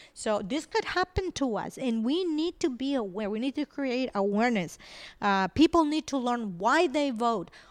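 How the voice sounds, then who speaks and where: With a Spanish accent, a woman talks at a fairly high pitch with lively intonation. The recording is very clean, with a silent background. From Venezuela. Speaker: IT company founder. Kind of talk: interview.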